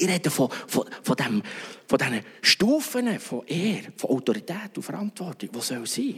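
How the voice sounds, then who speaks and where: A man's high voice swings very widely in pitch at a moderate pace, with noticeable background noise behind it. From Switzerland, Bern region. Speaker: pastor. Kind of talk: sermon.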